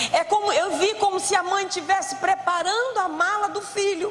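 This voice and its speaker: Audible room echo surrounds a woman speaking at a fairly slow pace. Her pitch is extremely high and her intonation fairly even. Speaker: preacher. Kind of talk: sermon. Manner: loud.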